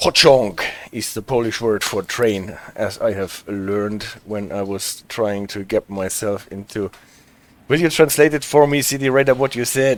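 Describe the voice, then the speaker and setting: A man with a German accent, medium pitch, ordinary pitch variation and a fairly slow pace. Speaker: streamer. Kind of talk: casual, chatting with viewers.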